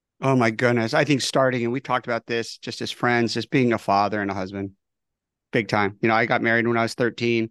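A man talks at a very fast pace. The background is quiet, and the sound is dry and close with no echo. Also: medium pitch for a man. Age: 50s. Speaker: communication trainer, company founder. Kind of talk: casual chat. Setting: video call. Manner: animated.

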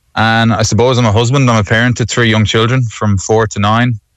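A man talks at a moderate pace in an Irish accent against a quiet background. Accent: Irish (Galway). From Galway, Ireland. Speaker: new local councillor and secondary school teacher. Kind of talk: radio interview. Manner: halting.

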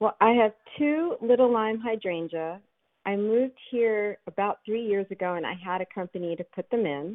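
Using an unremarkable speaking voice, a woman with an American accent talks at a moderate pace and medium pitch with lively intonation. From Philadelphia. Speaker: caller. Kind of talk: call-in question. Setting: phone call.

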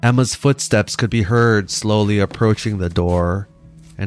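A natural voice reading aloud, pitch varying in an ordinary way

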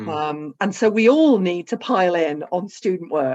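A woman speaks with a fairly low pitch and lively intonation. Hers is a plain, everyday voice. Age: 50s. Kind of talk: casual chat.

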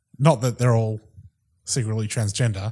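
The recording is very clean with a silent background. A man speaks in a somewhat breathy voice. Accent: New Zealand. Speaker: podcast co-host. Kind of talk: casual chat.

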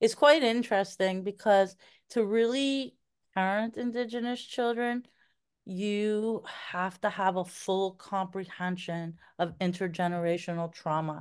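In a plain, everyday voice, a woman speaks at a fairly slow pace and medium pitch with ordinary pitch variation against a quiet background. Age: 50s. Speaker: adoptive mother. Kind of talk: casual chat.

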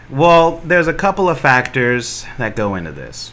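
Fairly slow speech from a man, with noticeable background noise behind it. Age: 30s. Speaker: comedian. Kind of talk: casual chat.

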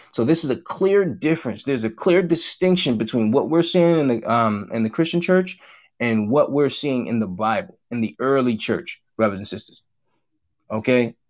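A plain, everyday voice from a man at medium pitch, lively intonation and a moderate pace, on a very clean recording with a silent background. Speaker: church teacher. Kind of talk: religious lesson. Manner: formal, repetitive.

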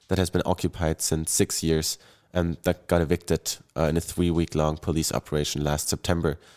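A man speaks with a German accent in a very deep, low voice. The recording is very clean, with a silent background and a dry, close sound with no echo. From Germany, Bonn. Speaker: climate activist. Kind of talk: panel discussion.

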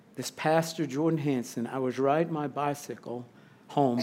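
Speaking at a moderate pace with an American accent, a man uses an ordinary speaking voice at a fairly high pitch with ordinary pitch variation. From Missouri, St. Louis. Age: 50s. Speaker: chaplain and campus ministry barista. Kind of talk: testimony.

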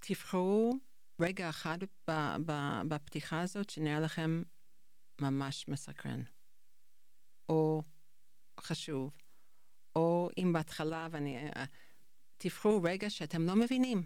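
A woman with a non-native accent, very slow pace, long, frequent pauses and ordinary pitch variation. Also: fairly low pitch for a woman. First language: not Hebrew (speaking Hebrew). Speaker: high school English teacher. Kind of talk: interview conversation. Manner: halting.

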